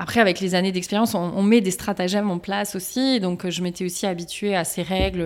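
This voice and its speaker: In a very clean recording with a silent background, a woman talks at a moderate pace and a medium pitch with fairly even intonation. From eastern France, Strasbourg. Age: 30s. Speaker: endometriosis patient, HR manager. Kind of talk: testimony. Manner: halting, many fillers.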